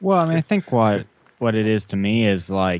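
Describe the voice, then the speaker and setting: In a plain, everyday voice, a man speaks at a fairly quick pace with a fairly low pitch. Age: 20s. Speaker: guest podcast host. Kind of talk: casual chat.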